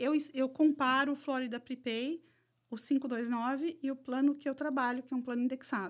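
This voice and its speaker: A woman talks in a high voice at a moderate pace with fairly even intonation. The recording is very clean, with a silent background. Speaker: educational and financial consultant. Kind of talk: casual chat.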